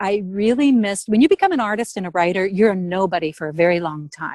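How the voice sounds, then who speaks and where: The speaker has a normal speaking voice with an American accent and lively intonation. The sound is dry and close, with no echo. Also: woman. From US Midwest. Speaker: artist, writer and former journalist. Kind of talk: interview.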